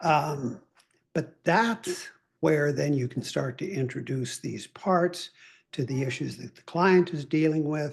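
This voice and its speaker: A man speaks very slowly, his pitch fairly high and his voice somewhat breathy. His pitch varies in an ordinary way. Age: 70s. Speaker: trauma counselor. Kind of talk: interview.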